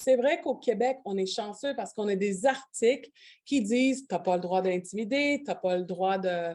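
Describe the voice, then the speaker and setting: In a very clean recording with a silent background, a woman with a medium-pitched voice talks at a moderate pace with lively intonation. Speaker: union organizer. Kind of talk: conference panel discussion. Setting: conference with interpreters. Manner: halting.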